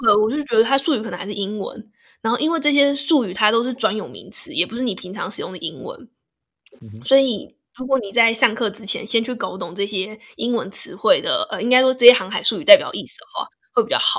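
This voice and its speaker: Using an unremarkable speaking voice, a woman with a fairly high pitch speaks at a fairly quick pace with ordinary pitch variation and big swings in loudness. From Taiwan, Hsinchu. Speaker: podcast host. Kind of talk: casual chat.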